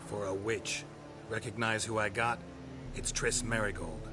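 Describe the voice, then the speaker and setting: A man's put-on character voice at medium pitch, moderate pace, over loud background noise. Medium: video game. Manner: brusque, hostile.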